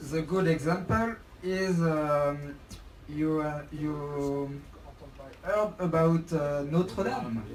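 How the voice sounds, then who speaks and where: The speech comes at a very slow pace in a French accent, broken by long, frequent pauses. Noticeable background noise runs underneath. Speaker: protester. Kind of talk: casual discussion. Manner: halting.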